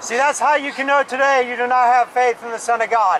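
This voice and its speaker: Light background noise sits behind a man's voice. His intonation is monotone and flat. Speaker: street preacher. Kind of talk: sermon. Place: street.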